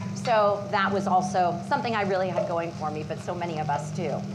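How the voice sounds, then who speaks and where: Speaking at a moderate pace and medium pitch, a woman is heard with noticeable background noise and audible room echo. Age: 40s. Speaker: patient sharing her story. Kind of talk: personal testimony at a cooking demo. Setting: live demo kitchen with audience and Zoom. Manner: halting, many fillers.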